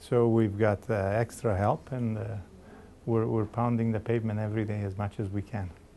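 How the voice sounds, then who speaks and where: A man speaks in a fairly low, dark, mellow voice at a moderate pace, his intonation monotone and flat. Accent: Macedonian. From Macedonia, moved to Canada at 13. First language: Macedonian. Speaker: election candidate. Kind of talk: interview.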